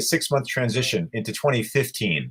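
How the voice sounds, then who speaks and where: A man with a somewhat breathy voice and lively intonation is heard on a very clean recording with a silent background. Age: 60s. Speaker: animal rights activist. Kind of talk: interview.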